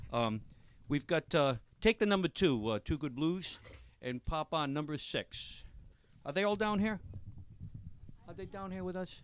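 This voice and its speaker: This man talks at a moderate pace in a fairly high pitch, his intonation lively, with long, frequent pauses and a dry, close sound with no echo. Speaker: radio show host. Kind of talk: live radio chat. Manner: loud; animated.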